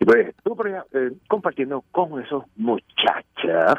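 A man with a fairly high pitch talks at a fairly slow pace, his voice making very wide pitch swings. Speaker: news commentary segment contributor. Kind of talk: humorous news commentary. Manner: animated.

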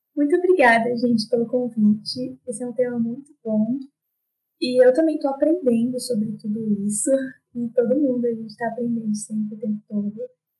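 A high-pitched woman's voice at a moderate pace, with music in the background. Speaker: fashion designer. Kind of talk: casual interview.

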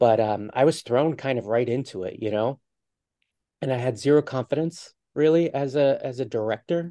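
Man's voice with an American accent, medium in pitch and dark and mellow in tone, at a moderate pace with ordinary pitch variation, against a quiet background. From US, Philadelphia area. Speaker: screenwriter and TV producer. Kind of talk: interview.

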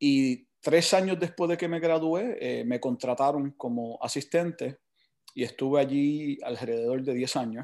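Against a quiet background, a man with a plain, everyday voice talks at a fairly slow pace, his fairly high pitch showing ordinary pitch variation. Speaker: water polo coach. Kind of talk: casual interview.

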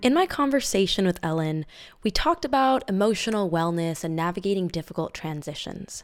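A woman's fairly quick speech with lively intonation, music playing in the background. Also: medium pitch for a woman. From Middle East, of Mexican and Indonesian descent. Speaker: podcast host. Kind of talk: scripted narration; interview.

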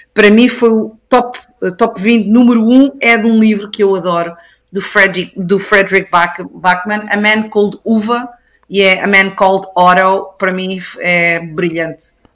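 This woman has medium pitch and an unremarkable speaking voice. She talks at a fairly slow pace with fairly even intonation. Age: 40s. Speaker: YouTube book reviewer. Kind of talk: casual chat.

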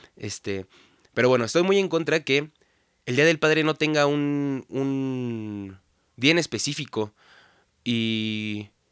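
In a very clean recording with a silent background and a dry, close sound with no echo, a man speaks at a very slow pace with ordinary pitch variation. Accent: Mexican. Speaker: podcast host. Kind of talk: casual monologue. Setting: home studio. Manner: stuttering, filler-heavy.

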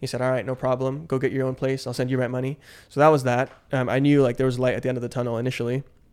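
Very fast and in monotone, flat intonation, a man talks at a medium pitch. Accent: Californian. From San Francisco Bay Area, with childhood in the Philippines. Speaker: guest telling life story. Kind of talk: casual interview chat.

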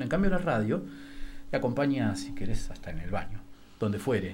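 A man's voice shows vocal fry. There is audible room echo. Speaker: radio host. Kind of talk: casual chat.

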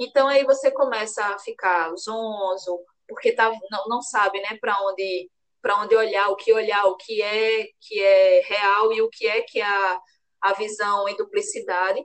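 The delivery comes at a fairly slow pace with fairly even intonation. It is an ordinary speaking voice. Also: woman, fairly high pitch for a woman. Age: 30s. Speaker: lawyer. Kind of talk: interview.

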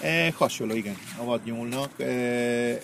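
At a fairly slow pace, a man speaks as noticeable background noise carries on behind him. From Argentina, Buenos Aires. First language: Spanish (speaking Hungarian). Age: 60s. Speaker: chef. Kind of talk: casual chat. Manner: halting.

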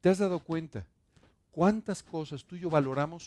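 A man with a plain, everyday voice talks at a moderate pace, his fairly high pitch showing ordinary variation. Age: 60s. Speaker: pastor. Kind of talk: sermon.

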